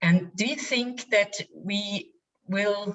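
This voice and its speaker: The speaker has a non-native accent and a flat, monotone intonation. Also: woman. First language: not English. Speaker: audience member asking a question. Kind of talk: question in webinar.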